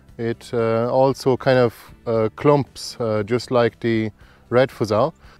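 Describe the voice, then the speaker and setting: A man talks at a fairly slow pace. The sound is dry with no echo, and faint music plays in the background. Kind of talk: tutorial. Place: garden. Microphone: lapel.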